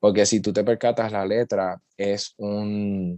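Monotone, flat intonation over a quiet background. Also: man. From Puerto Rico, Utuado. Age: 20s. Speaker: musician, rapper and singer. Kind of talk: casual interview.

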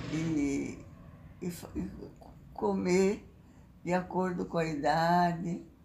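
Her voice is fairly low, with a dark, mellow tone and ordinary pitch variation. The woman talks at a very slow pace with long, frequent pauses in a room with audible echo. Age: 90s; 80s+. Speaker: interviewee, elderly woman. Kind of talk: interview. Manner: halting.

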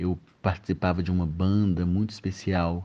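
A man speaks in a very deep, low pitch with a dark, mellow tone. His intonation is monotone and flat, over a quiet background. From Minas Gerais, Brazil (moved to Belo Horizonte at 10). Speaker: musician and carnival band conductor. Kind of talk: recorded testimony.

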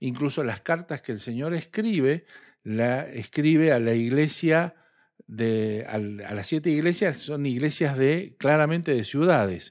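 Here is a man with an unremarkable speaking voice and a fairly high pitch. He talks at a fairly slow pace with lively intonation. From Argentina, southern Santa Fe province. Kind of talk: religious discussion.

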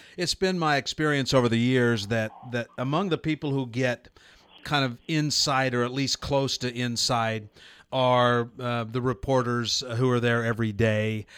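A man's ordinary speaking voice with an American accent, medium pitch, fairly even intonation and a moderate pace, in a very clean recording with a silent background. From Nebraska. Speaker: radio host. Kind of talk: interview. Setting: studio.

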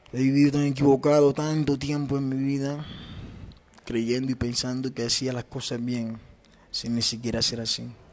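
A man speaks with a coastal Colombian accent. His intonation stays monotone and flat. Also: medium pitch for a man, moderate pace. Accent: Colombian coastal (costeño) Spanish. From Caribbean coast of Colombia, Ciénaga, Magdalena. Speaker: podcaster. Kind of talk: personal reflective monologue.

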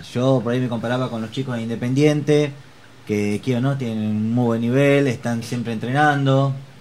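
In a plain, everyday voice, someone talks at a moderate speed, the intonation staying fairly even. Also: man. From Argentina, Chivilcoy. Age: 30s. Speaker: amateur handball player and hairdresser. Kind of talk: interview.

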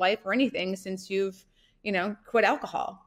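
A woman's medium-pitched voice in an American accent, monotone and flat in intonation. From US Midwest, North Dakota. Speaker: entrepreneur. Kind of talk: casual interview.

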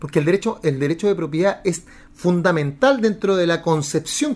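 A man is talking at a moderate pace. The variation in his pitch is ordinary. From Chile, Santiago (Recoleta). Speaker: lawyer and political candidate. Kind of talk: political podcast monologue. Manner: animated; halting with repeated words.

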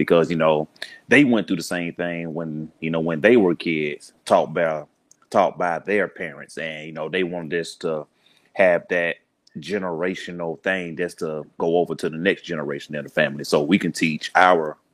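A man speaks with a Southern US accent in a very deep, low pitch, his tone relaxed and his intonation fairly even. He keeps a moderate pace, and the recording is very clean with a silent background. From US South, Birmingham, Alabama. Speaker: podcaster, community organizer. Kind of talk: podcast interview. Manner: relaxed, conversational.

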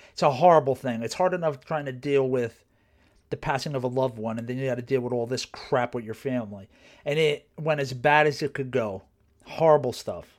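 Someone with a New Jersey accent talks at a fairly quick pace with ordinary pitch variation on a very clean recording with a silent background. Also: man, medium pitch for a man. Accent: New Jersey American. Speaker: podcast host, personal trainer. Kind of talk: casual monologue. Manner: conversational, many fillers.

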